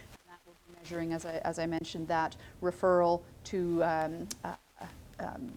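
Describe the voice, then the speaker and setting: A woman's fairly low voice in a monotone, flat delivery. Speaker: healthcare executive presenting. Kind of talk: presentation. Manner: fast; halting with many fillers.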